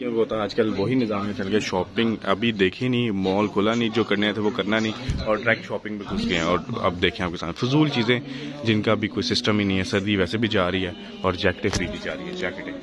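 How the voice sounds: Over clear background noise, a man talks at a fast pace with few pauses, a fairly low pitch and fairly even intonation.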